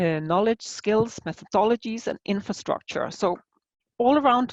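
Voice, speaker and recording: A woman with a non-native accent at a moderate pace, ordinary pitch variation, a dry, close sound with no echo and a quiet background. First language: not English. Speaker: aphasia researcher. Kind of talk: conference presentation. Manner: halting, many fillers.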